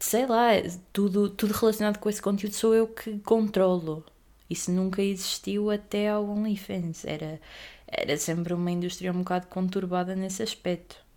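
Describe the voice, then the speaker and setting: This woman has a dark, mellow tone at a medium pitch. She keeps a moderate pace with fairly even intonation. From Portugal, Aveiro. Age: young. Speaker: podcaster. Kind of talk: casual monologue.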